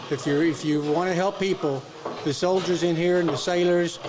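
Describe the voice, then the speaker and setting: Amid noticeable background noise and audible room echo, a man with a high pitch speaks in a monotone, flat intonation at a moderate pace. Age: 70s. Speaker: workshop student. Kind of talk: casual interview. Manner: halting.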